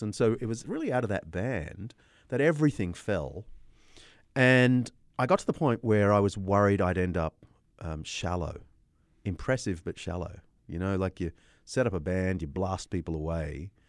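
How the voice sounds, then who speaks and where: In a very clean recording with a silent background, a man with an Australian accent speaks at a moderate pace, his fairly low voice carrying lively intonation. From Australia, Sydney. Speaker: historian and apologist. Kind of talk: interview.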